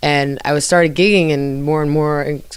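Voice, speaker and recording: A woman speaks with an American accent at a fairly quick pace. Her pitch is very deep and low. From New Jersey. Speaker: jazz vocalist and band leader. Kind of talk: interview. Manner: casual, lots of filler words.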